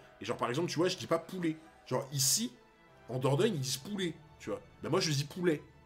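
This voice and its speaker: Music plays in the background as the speaker goes at a very fast pace, with ordinary pitch variation and long, frequent pauses. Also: man, fairly high pitch for a man. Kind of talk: casual.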